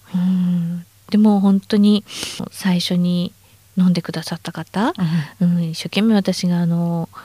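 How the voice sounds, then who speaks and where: A woman speaks at a fairly slow pace with a fairly low pitch and a dark, mellow, somewhat breathy tone. Her intonation is flat and monotone, and the sound is dry and close with no echo. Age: 50s. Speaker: supplement company manager. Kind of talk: interview.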